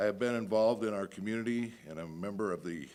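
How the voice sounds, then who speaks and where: Speaking at a moderate speed with fairly even intonation, a man has a fairly low pitch and an unremarkable speaking voice. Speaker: political candidate, home inspection business owner. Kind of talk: candidate forum speech.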